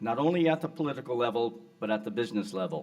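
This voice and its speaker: Lively intonation marks a man speaking at a moderate pace with music in the background. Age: 60s. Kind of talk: award acceptance speech. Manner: formal.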